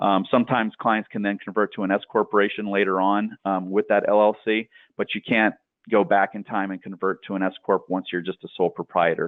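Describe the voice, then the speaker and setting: A man with a fairly low pitch speaks at a very fast pace in a monotone, flat intonation. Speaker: tax accountant. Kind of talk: coaching call presentation. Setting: group coaching call. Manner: hesitant, many fillers.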